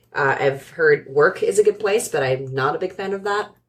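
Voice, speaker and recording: The woman speaks with a Californian accent and lively intonation. Her pace is fairly slow. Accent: General American (Californian). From US West Coast, San Francisco Bay Area. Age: 30s. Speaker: operations director. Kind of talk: casual chat.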